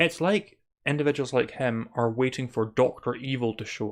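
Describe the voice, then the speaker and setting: A man with a Scottish accent, medium pitch, and a fairly quick pace, over a quiet background. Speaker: spirituality podcaster. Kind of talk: monologue commentary.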